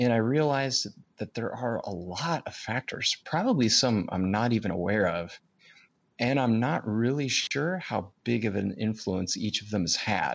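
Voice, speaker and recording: A man speaks at a moderate pace in a fairly low pitch with ordinary pitch variation, a normal speaking voice. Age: 30s. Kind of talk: casual conversational podcast chat, storytelling.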